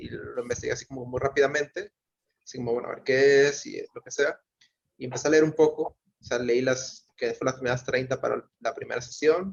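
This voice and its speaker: Loudness swings widely as a man talks at a fairly quick pace. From Mexico. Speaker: book club participant. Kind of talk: casual discussion. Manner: hesitant, many fillers.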